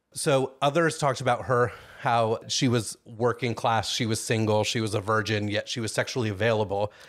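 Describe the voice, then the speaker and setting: A plain, everyday voice from a man of medium pitch, fairly quick and with hardly any pauses, fairly even intonation, on a very clean recording with a silent background. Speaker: true crime podcast host. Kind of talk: casual chat with storytelling. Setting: recording with a small audience.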